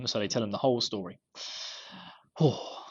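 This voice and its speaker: A man with an Essex accent talks with ordinary pitch variation. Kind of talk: casual, sounds dropped.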